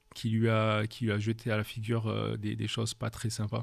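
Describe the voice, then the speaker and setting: Here a man with a slight southern French accent talks at a moderate pace and a fairly low pitch. His intonation is fairly even, and the recording is very clean with a silent background. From France, Paris and southern France. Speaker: leadership coach. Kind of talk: podcast interview. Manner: hesitant, many fillers.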